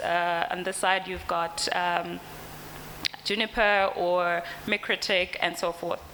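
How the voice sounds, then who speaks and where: The intonation stays monotone and flat. There is noticeable background noise. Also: woman. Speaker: company representative presenting products. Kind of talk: conference presentation. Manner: hesitant, many fillers.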